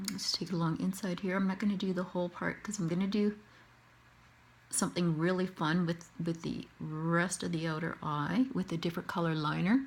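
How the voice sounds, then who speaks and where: Somewhat breathy and fairly low-pitched, a woman speaks with fairly even intonation. She has a Canadian accent. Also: moderate pace. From Canada. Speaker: face painter. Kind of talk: tutorial.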